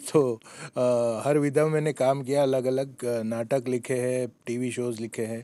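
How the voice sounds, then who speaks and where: A man's dark, mellow voice in a Gujarati accent, monotone and flat. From Gujarat, India. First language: Gujarati (speaking Hindi). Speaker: screenwriter and lyricist. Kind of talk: interview. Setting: film festival. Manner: hesitant with many fillers.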